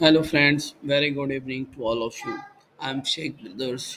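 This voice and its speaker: A man with an Indian accent speaks at a fairly high pitch and a moderate pace amid noticeable background noise. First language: Hindi. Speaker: trading educator. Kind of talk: tutorial. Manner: halting, many fillers.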